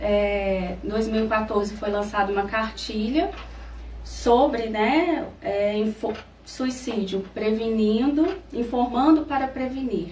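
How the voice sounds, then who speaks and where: A woman's fairly high voice at a very slow pace, with ordinary pitch variation and noticeable background noise. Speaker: psychologist. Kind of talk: radio interview answer.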